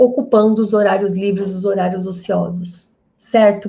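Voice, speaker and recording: A woman's medium-pitched voice has a dark, mellow tone and is somewhat breathy. She speaks at a fairly slow pace. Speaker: health business consultant. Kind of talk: live online class. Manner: animated.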